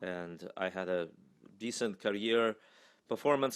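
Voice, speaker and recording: A man with a fairly low voice and ordinary pitch variation speaks with a Russian accent. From Russia, Moscow. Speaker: singer and voice professor. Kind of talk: interview.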